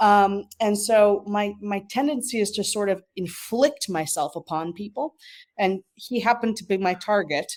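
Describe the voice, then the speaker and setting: A woman with an American accent, a normal speaking voice and ordinary pitch variation, on a very clean recording with a silent background. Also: medium pitch for a woman, moderate pace. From New York, Westchester County. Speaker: marketing professional. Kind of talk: interview. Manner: many filler words.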